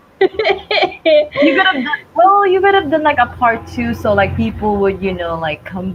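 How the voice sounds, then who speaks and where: A woman speaks at a moderate pace with a high pitch and very wide pitch swings, over noticeable background noise. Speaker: youtuber, livestream co-host. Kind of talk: casual chat.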